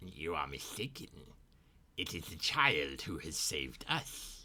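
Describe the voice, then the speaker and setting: A put-on character voice from a man, pitched very deep and low, delivered fairly slowly. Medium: actual play. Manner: formal, measured.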